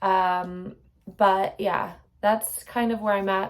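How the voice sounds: Speaking slowly, a woman uses a medium pitch, fairly even intonation and a slightly mellow tone.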